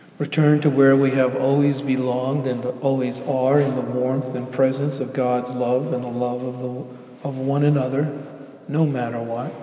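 A man speaks in a calm, soothing tone with monotone, flat intonation. Noticeable noise sits in the background. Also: medium pitch for a man. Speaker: pastor. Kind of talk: guided meditation. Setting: church. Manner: slow, calm, soothing, unhurried; gentle, pausing for breaths.

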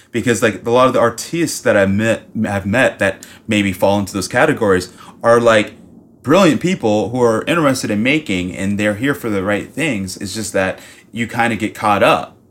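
A plain, everyday voice with an American accent. It moves at a moderate pace with ordinary pitch variation. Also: man, fairly low pitch for a man. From US South, Miami, Florida. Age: 30s. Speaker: painter. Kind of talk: casual chat.

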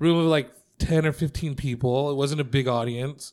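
Recorded very cleanly against a silent background, a man talks in an ordinary speaking voice at a fairly high pitch with fairly even intonation. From Mexican-American, US. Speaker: stand-up comedian. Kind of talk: casual chat. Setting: comedy club.

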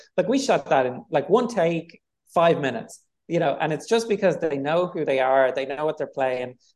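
With a Dublin accent, a man talks at a moderate pace in a fairly high voice, his intonation lively. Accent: Dublin Irish. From Ireland, Dublin. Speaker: film director. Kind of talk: interview. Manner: hesitant, filler-heavy.

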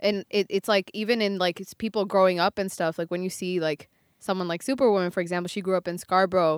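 A woman with a New York accent at a medium pitch, very fast in pace with fairly even intonation, in a very clean recording with a silent background and a dry, close sound with no echo. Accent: American (New York). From US, New York; raised largely in Buffalo, Western New York. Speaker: musician. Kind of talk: casual chat.

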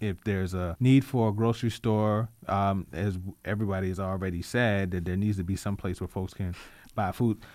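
In an unremarkable speaking voice, a man with an American accent talks at a moderate pace and fairly low pitch, his intonation fairly even, in a very clean recording with a silent background. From Richmond, Virginia (Southside). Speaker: community activist. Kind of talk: radio interview.

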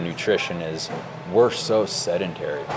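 Against noticeable background noise, a man with an American accent talks with ordinary pitch variation. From Oregon. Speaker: amateur cyclist. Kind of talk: casual chat.

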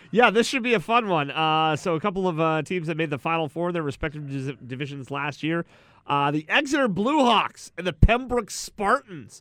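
On a very clean recording with a silent background, a man speaks in a high-pitched, bright, sharp voice, his tone animated and dramatic and his intonation lively. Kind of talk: mock stadium-announcer matchup reading, playful and theatrical. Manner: animated, mock-dramatic, projecting a big announcer cadence.

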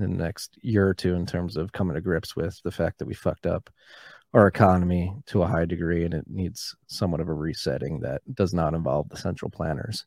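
Very deep and low, a man's voice with vocal fry moves at a fairly quick pace with ordinary pitch variation, recorded very cleanly with a silent background and a dry, close sound with no echo. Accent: American. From Philadelphia, US. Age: 30s. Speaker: bitcoin podcaster. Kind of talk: casual interview.

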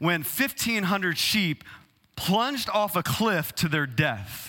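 Using a raised, projected voice with a Texas accent, a man speaks at a high pitch with a bright, sharp tone and ordinary pitch variation. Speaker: pastor. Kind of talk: sermon.

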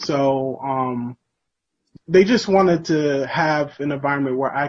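This man has an American accent and a fairly high pitch. He talks at a fairly slow pace with ordinary pitch variation. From upstate New York, rural Sullivan County. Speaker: protest speaker, local who grew up in the town. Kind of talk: speech at protest; interview. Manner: halting.

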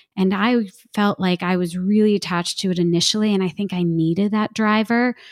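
In a very clean recording with a silent background, a woman with an American accent talks at a medium pitch in an unremarkable speaking voice. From New Jersey. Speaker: testimony speaker and parenting coach. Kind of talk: testimony in interview.

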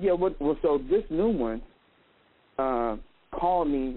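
Lively intonation from a male speaker. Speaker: caller. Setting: phone. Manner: talks over others.

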